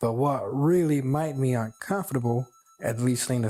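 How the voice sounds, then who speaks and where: Speaking in a Southern US accent, a man uses medium pitch and ordinary pitch variation at a fairly slow pace. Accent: American Southern. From China. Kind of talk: personal story told in interview.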